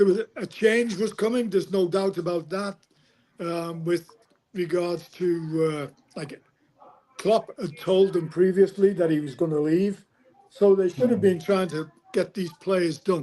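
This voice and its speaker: Pausing long and often, a man with a Liverpool accent and a high pitch speaks at a fairly slow pace with ordinary pitch variation. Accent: Scouse. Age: 80s+. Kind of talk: interview answer.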